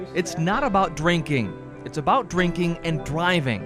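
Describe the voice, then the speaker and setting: Music plays behind a man speaking at a moderate pace. His pitch is fairly high. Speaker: TV news anchor and reporter. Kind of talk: TV news reporter package voiceover.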